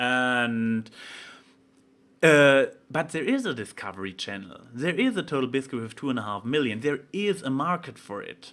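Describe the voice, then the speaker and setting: With a German accent, a man speaks at a moderate pace and a medium pitch. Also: lively intonation. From Germany. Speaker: vlogger. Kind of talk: casual vlog monologue. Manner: halting, many fillers and restarts.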